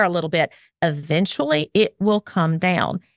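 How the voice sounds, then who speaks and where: In a very clean recording with a silent background, a woman with a Southern US accent speaks at a fairly slow pace. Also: dry, close sound with no echo. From Alabama. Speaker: parenting expert and former attorney. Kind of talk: casual interview conversation.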